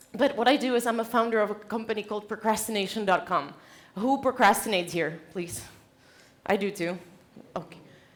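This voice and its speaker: Speaking with a Czech accent, a woman has a fairly high pitch and ordinary pitch variation. Her pace is fairly quick, broken by long, frequent pauses. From Czech Republic. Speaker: conference speaker, company founder. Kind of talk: keynote talk. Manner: animated.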